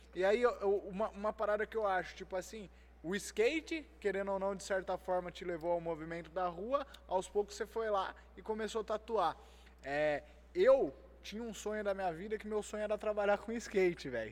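Here a man speaks with a high pitch. His pitch varies in an ordinary way. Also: moderate pace. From Itatiba, São Paulo state, Brazil. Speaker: podcast host. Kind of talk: casual chat.

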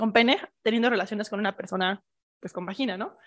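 The pace is fairly quick, in a Mexican accent. The sound is dry and close, with no echo. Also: woman. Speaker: podcast co-host. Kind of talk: casual chat.

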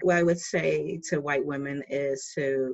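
A woman with a New York accent. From New York City. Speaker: filmmaker. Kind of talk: interview.

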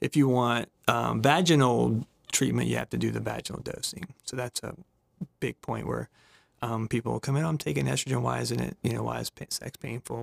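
This man speaks at a moderate pace with an American accent, and the sound is dry and close with no echo. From US South. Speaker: urogynecologist. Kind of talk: radio interview.

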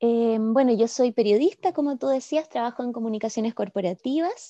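A woman's high-pitched voice with a dark, mellow tone and lively intonation, fairly quick in pace, dry and close with no echo, against a quiet background. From southern Chile. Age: 30s. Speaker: journalist. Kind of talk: interview.

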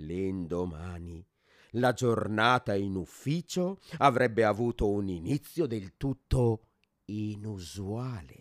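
In a very clean recording with a silent background, a man speaks at a very slow pace in a fairly low pitch, his tone warm and the sound dry and close with no echo. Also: lively intonation. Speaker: course participant storyteller. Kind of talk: storytelling narration, reading a written tale aloud. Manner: measured, warm and expressive, soft dreamy pacing.

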